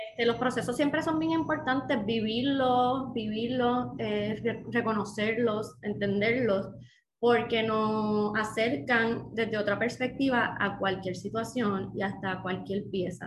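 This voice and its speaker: Somewhat breathy and fairly high-pitched, a woman speaks at a very slow pace with ordinary pitch variation amid audible room echo. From Puerto Rico, Dorado area (Bo. Bonito). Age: 30s. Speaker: second-hand clothing business owner. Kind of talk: casual interview.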